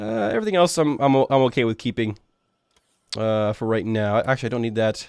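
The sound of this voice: Speaking at a fairly quick pace with ordinary pitch variation, a man has a nasal, clear, smooth and slightly mellow tone touched by vocal fry. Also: medium pitch for a man.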